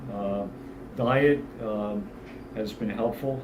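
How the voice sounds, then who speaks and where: Audible room echo surrounds a man's voice. He talks at a fairly low pitch with fairly even intonation. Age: 60s. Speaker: fitness client giving testimonial. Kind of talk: testimonial interview. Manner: halting, many fillers.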